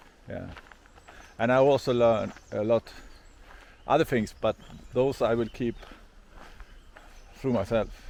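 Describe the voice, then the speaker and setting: Speaking at a moderate pace, a man keeps a medium pitch. His pitch variation is ordinary. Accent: Swedish. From Sweden. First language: Swedish. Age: 50s. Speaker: hiker vlogger. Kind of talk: vlog monologue. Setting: outdoors. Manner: halting.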